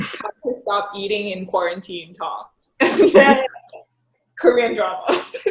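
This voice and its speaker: A woman is speaking here. She goes at a very slow pace. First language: Thai. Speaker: professional golfer. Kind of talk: casual chat. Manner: halting, many fillers.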